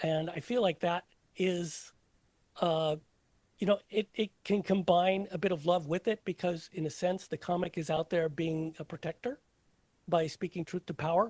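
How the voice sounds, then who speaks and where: A man's high voice, fairly even in intonation, with a dry, close sound and no echo. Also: moderate pace. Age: 60s. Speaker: comedian. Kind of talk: casual chat. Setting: podcast. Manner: halting.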